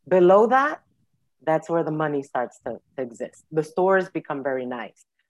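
Speaking at a moderate pace with a New York accent, a woman with a fairly low pitch comes through in a dry, close sound with no echo. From New York City. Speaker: social worker. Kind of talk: interview.

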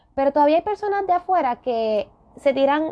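At a moderate pace, a woman is speaking. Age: 30s. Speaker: podcast host. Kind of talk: solo podcast rant.

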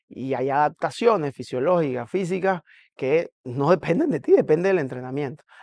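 A normal speaking voice from a man at a fairly high pitch, moderate pace and ordinary pitch variation, dry and close with no echo over a quiet background. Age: 40s. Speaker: CrossFit coach. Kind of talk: casual monologue reacting to a video.

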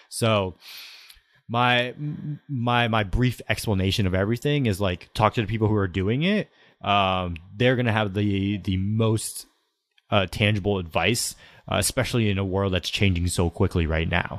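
A man with an unremarkable speaking voice talks at a fairly low pitch with ordinary pitch variation and very even loudness, in a very clean recording with a silent background. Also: moderate pace. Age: 20s. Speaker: content creator and entrepreneur. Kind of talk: interview conversation.

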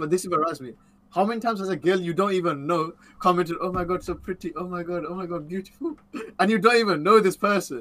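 A high-pitched man talking at a very fast pace, ordinary pitch variation, with noticeable background noise. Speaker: co-host. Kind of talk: casual chat.

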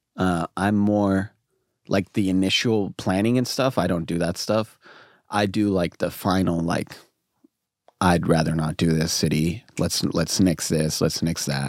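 This man has a very deep, low voice and talks at a fairly slow pace. His loudness stays very even, and the sound is dry and close with no echo. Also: ordinary pitch variation. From moved often: India, China, Hong Kong, Fiji. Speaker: hip-hop artist. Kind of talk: casual chat. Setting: in a van.

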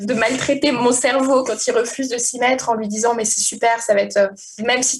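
Against noticeable background noise, a woman with a fairly high pitch talks at a moderate pace in a monotone, flat intonation. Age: 30s. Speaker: novelist. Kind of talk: interview. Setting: internet call. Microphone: poor internet recording quality.

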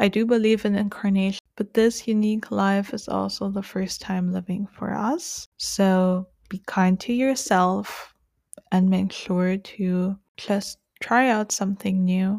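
A woman at medium pitch, in an unremarkable speaking voice, talks at a fairly slow pace with fairly even intonation on a very clean recording with a silent background. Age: 20s. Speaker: podcast host. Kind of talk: solo podcast monologue.

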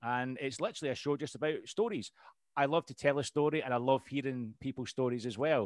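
A man with a Scottish accent talks at a very fast pace, his pitch medium with ordinary variation. The recording is very clean and dry, close with no echo, over a silent background. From Scotland. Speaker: podcast host and veteran. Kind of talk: casual interview chat.

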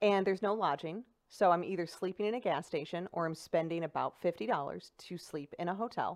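A woman's fairly low voice at a fairly quick pace, with ordinary pitch variation and hardly any pauses. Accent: St. Louis. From St. Louis, Missouri (South City). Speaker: stand-up comedian. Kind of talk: casual chat. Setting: studio.

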